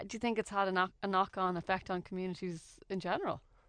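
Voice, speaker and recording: Against a quiet background, a woman speaks very fast at a medium pitch with an Irish accent. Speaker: radio host. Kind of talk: radio interview. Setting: radio studio.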